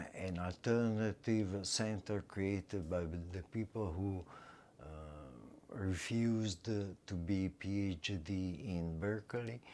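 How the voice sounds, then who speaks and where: With an Italian accent, a man speaks at a very slow pace in a fairly low pitch and a dark, mellow tone, on a very clean recording with a silent background. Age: 70s. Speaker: retired English teacher and artist. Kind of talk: interview. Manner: halting, many fillers.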